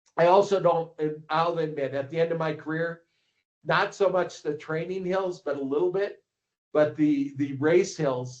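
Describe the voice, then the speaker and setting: Speaking with an American accent and a plain, everyday voice, a man talks at a fairly slow pace, fairly high in pitch and with fairly even intonation. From Minnesota, US. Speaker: ski coach and publisher. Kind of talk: casual interview.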